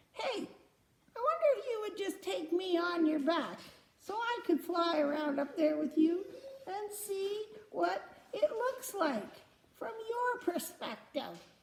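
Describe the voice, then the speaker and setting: A woman puts on a character voice pitched extremely high. She speaks at a fairly slow pace with long, frequent pauses. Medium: read story.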